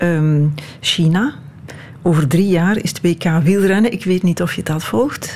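Over noticeable background noise, a woman with a Flemish accent speaks very slowly at a fairly low pitch. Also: ordinary pitch variation. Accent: Flemish Dutch. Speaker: radio host. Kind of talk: interview.

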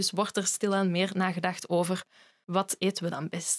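A woman talks at a moderate pace in an unremarkable speaking voice of medium pitch. The sound is dry and close, with no echo. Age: 20s. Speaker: food historian. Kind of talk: casual chat.

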